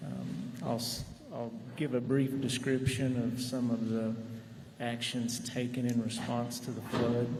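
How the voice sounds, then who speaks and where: A soft-spoken man with a Texan accent talks at a medium pitch in a flat, monotone way, with audible room echo and noticeable background noise. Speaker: county judge. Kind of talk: testimony. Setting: public legislative hearing.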